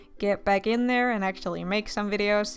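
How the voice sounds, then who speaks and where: A woman speaks at a fairly quick pace. Her pitch sits fairly high. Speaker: art youtuber. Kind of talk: casual voice-over commentary while drawing. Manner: mumbling, tripping over words; hesitant, filler-heavy.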